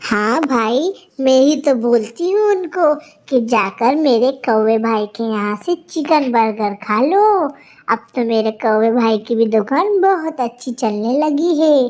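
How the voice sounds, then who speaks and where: A female-sounding, cartoonish character voice, high in pitch, moves at a fairly slow pace with hardly any pauses. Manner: sweet, trusting.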